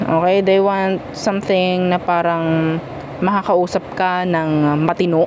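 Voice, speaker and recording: A woman at medium pitch amid noticeable background noise. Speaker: tarot reader. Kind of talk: tarot reading, casual monologue. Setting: at home, noise outside earlier. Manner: casual, chatty; softer now, was loud earlier.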